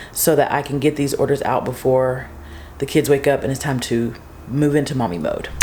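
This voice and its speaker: A woman's voice, with ordinary pitch variation, carries audible echo from the room. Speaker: small business owner and vlogger. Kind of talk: casual vlog. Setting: garage. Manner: soft-spoken.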